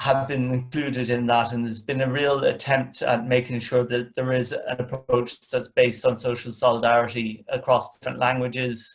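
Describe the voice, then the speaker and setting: In an Irish accent, a man speaks at a moderate pace and medium pitch with monotone, flat intonation. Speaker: communications manager, panel speaker. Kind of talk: webinar panel discussion. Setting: video call. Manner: hesitant, many fillers.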